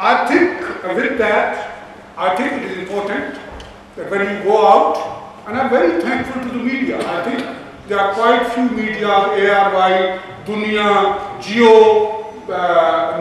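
Fairly slow speech with ordinary pitch variation, strong room echo and light background noise. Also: man. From Pakistan. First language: Urdu or Punjabi. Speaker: event organizer and Labour councillor. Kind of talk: meeting host remarks. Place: hall. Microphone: camera far.

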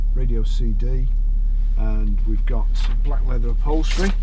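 Noticeable background noise behind a man's voice at a moderate speed. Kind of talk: car review commentary. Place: car. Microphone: camera far.

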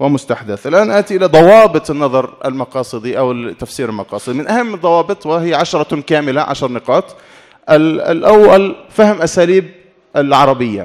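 Over a quiet background, a man with a plain, everyday voice speaks at a moderate pace, his fairly high pitch carrying lively intonation. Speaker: Islamic studies scholar; conference speaker. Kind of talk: conference talk. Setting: academic conference hall. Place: hall. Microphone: podium.

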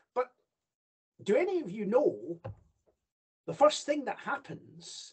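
Against a quiet background, a man with a Scottish accent talks at a very slow pace using lively intonation. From Scotland. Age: 60s. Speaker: judge and royal ceremonial official. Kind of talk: lecture. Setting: video call. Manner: halting. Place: home room. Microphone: video call.

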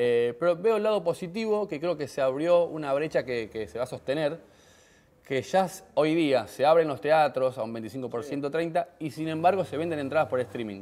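Speaking at a moderate pace, a man with a Rioplatense accent has a fairly high pitch. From Argentina, Rosario; Argentina. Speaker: comedian. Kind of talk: TV interview. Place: cafe. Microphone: lapel.

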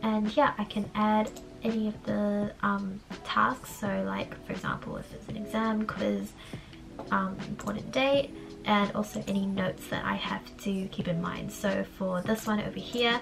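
A woman keeps a moderate pace while music plays in the background. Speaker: university student. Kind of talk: casual talk to camera.

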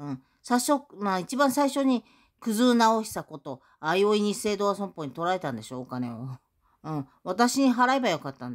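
Over a quiet background, a woman speaks at a moderate pace with very wide pitch swings. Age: 60s. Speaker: YouTuber. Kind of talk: monologue vlog. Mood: aggrieved, accusatory. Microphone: phone near.

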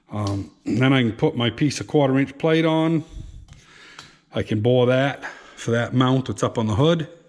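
Pitch variation from this man is ordinary. He keeps a moderate pace. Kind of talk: tutorial. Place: garage. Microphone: phone near.

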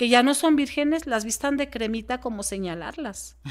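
A woman's voice with lively intonation. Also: quiet background. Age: 40s. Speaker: podcast guest. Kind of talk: interview conversation. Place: home room. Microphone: studio mic.

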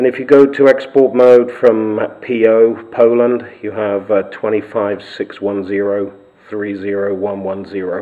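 A man with a fairly low voice speaks at a fairly slow pace. Noticeable background noise runs under him. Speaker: radio hobbyist. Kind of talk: tutorial.

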